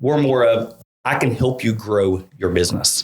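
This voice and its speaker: A man talks with a strong Eastern Kentucky accent. His pace is moderate, and his pitch variation is ordinary. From Eastern Kentucky (Paintsville), US. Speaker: real estate marketing consultant. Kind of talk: casual interview chat. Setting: studio.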